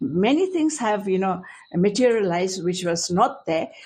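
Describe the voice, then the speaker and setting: Somewhat breathy and medium in pitch, a woman speaks at a fairly slow pace with very wide pitch swings. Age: 70s. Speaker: retired teacher. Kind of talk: interview. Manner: halting.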